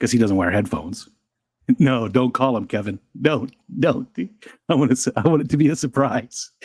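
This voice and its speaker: A man talks at medium pitch and a moderate pace, with lively intonation and long, frequent pauses. The sound is dry and close, with no echo. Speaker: livestream co-host. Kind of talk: casual livestream chat. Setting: live stream. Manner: talking quietly.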